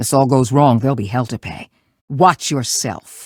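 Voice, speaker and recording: Doing a put-on character voice, a man growls at a medium pitch and a moderate pace in a very clean recording with a silent background. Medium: video game. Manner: gruff, curt.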